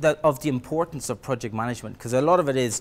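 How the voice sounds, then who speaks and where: This man speaks with an Irish accent. His pitch sits fairly high and moves with ordinary variation. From Ireland. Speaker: project management trainer. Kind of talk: lecture. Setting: presentation room with audience. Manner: halting, many fillers and repeats.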